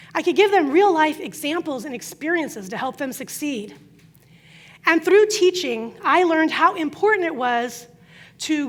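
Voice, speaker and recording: The intonation is lively. The pace is moderate. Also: woman. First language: Croatian. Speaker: business coach. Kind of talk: conference talk.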